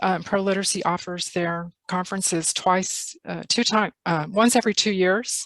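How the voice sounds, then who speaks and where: A woman's medium-pitched voice with a slight Texas accent, fairly even intonation and a moderate pace, with hardly any pauses. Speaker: literacy tutor presenting a workshop. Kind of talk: workshop presentation on video call. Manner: hesitant, many fillers.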